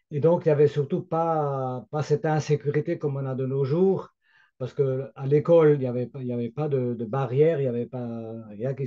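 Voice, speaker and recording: Over a quiet background, a man with a medium pitch and a dark, mellow tone speaks at a moderate pace with ordinary pitch variation. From Alsace, France. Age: 70s. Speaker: grandfather telling memories. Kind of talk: casual interview chat. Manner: hesitant, many fillers.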